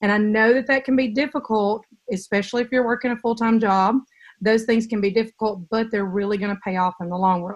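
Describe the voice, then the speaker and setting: This woman's pitch is fairly high and her intonation fairly even. She talks at a fairly quick pace. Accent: Southern. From US South, Mississippi. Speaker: direct sales director. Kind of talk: online training call.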